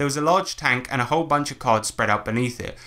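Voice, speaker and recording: The voice moves at a very fast pace with a bright, sharp tone and ordinary pitch variation. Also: man. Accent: British. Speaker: podcast host. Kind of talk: casual chat. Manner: animated.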